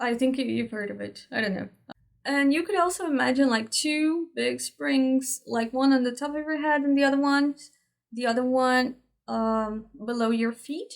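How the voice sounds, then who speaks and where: In a Portuguese accent, a woman speaks at a moderate pace with a high pitch and ordinary pitch variation. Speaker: spiritual teacher. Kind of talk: tutorial. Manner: halting.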